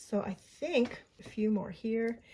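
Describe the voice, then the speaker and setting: A woman speaks at a fairly high pitch, somewhat breathy. Her tone is dark and mellow. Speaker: mixed media art journaling creator. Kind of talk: craft tutorial. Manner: casual, chatty; mumbling.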